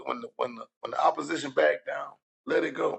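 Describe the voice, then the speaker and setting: A man with a Louisiana accent talks at a fairly quick pace. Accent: Louisiana, southern US. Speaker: podcast co-host. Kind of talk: casual chat.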